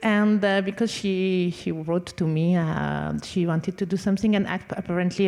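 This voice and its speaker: A woman with a French accent talks at a moderate pace, at medium pitch, with fairly even intonation. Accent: French accent, non-fluent English. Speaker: conductor and violinist. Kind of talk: panel talk. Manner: halting.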